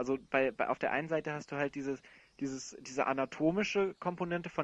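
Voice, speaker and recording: With a dry, close sound and no echo over a quiet background, a man speaks at a very fast pace with ordinary pitch variation. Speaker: podcast host, film discussion panelist. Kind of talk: casual film discussion. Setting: online call.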